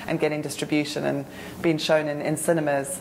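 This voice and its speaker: Over noticeable background noise, a woman with a very deep, low pitch talks at a fairly quick pace in a monotone, flat intonation. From South Africa. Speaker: film institute digital director. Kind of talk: interview answer.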